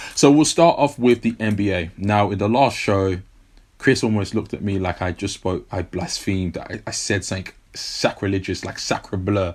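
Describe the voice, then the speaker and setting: Someone with a London accent talks in an animated tone at a moderate pace, with ordinary pitch variation. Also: man, fairly low pitch for a man. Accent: British, London. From South London, England. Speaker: sports podcast co-host. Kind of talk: casual chat.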